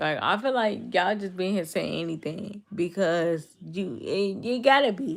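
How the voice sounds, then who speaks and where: With an American accent, a woman speaks at a medium pitch and moderate pace, her intonation lively and her voice marked by vocal fry. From Chicago, US. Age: 20s. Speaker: live streamer. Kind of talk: casual chat.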